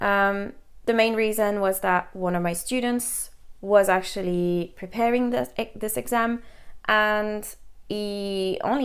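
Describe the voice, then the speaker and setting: A woman with a French accent speaks at a fairly slow pace, medium in pitch with ordinary pitch variation. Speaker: English teacher and language examiner. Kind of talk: educational talk to camera.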